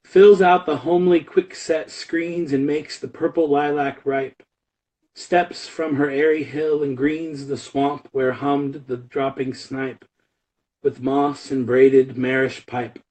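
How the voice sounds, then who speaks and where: At a fairly slow pace, a man speaks with fairly even intonation and a fairly high pitch. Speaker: poetry reader. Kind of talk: reading aloud. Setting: live stream. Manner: loud.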